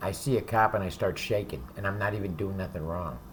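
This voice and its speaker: A man's fairly low voice with vocal fry. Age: 60s. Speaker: ex-convict giving advice to youth. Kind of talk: direct-to-camera monologue. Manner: casual, profane.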